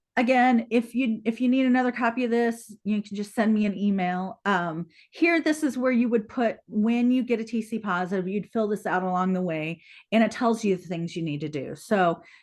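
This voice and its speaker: Against a quiet background, a woman with a fairly high pitch talks at a moderate pace in an ordinary speaking voice, with ordinary pitch variation. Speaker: public water supply presenter. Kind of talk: webinar presentation.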